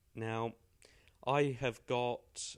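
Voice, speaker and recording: A man with a British accent speaks in fairly even intonation. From Britain. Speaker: English pronunciation teacher. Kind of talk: tutorial. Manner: casual, hesitant with fillers.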